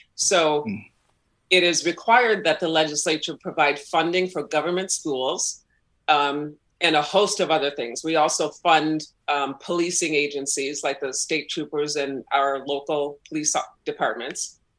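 A woman with an American accent speaks at a moderate pace in a very deep, low pitch with ordinary pitch variation. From northern Illinois (Waukegan, near Chicago). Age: 50s. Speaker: political candidate. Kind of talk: interview.

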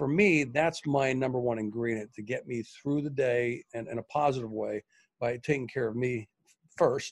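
A man of medium pitch at a moderate pace, ordinary pitch variation and an unremarkable speaking voice. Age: middle-aged. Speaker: leadership speaker and business owner. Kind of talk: interview.

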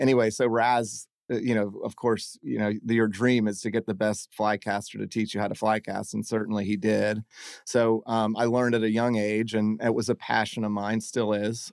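In a Southern US accent, a man speaks at a moderate pace with a fairly low pitch and monotone, flat intonation, heard in a very clean recording with a silent background and a dry, close sound with no echo. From South Carolina (Hilton Head Island). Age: 40s. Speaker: restaurant owner. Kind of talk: casual chat. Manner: halting, many fillers.

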